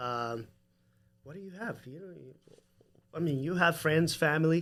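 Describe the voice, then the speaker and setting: Loudness swings widely as a man speaks in a Salvadoran accent. His pace is moderate. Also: fairly high pitch for a man, ordinary pitch variation. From El Salvador. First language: Spanish. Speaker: home builder. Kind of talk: casual chat.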